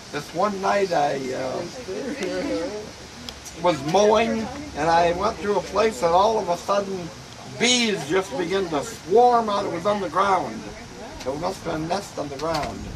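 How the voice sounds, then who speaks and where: Speaking at a fairly slow pace with long, frequent pauses, a high-pitched man uses lively intonation over noticeable background noise. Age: 80s+. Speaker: grandfather. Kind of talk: storytelling, casual family talk. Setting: outdoors, porch.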